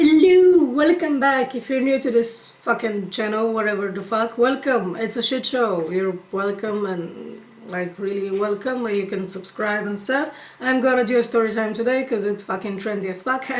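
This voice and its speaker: A woman with a fairly high pitch talks while noticeable background noise fills the clip. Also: lively intonation, moderate pace, hardly any pauses. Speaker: YouTuber. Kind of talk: storytime rant. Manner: casual.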